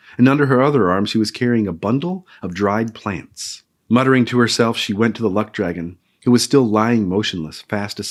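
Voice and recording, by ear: A natural voice reads aloud with ordinary pitch variation, and the background stays quiet.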